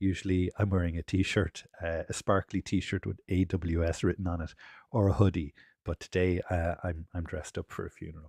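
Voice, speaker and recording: A man with an Irish accent speaks in a very deep, low pitch, flat and monotone, at a moderate pace and somewhat breathy. The sound is dry and close with no echo, over a quiet background. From Ireland. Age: 40s. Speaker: developer advocate. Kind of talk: technical presentation.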